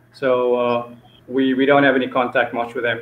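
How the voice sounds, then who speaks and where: Audible echo fills the room as a man speaks at a moderate pace. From South Africa, Cape Town. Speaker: martial arts instructor. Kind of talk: interview. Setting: video call. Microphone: video call.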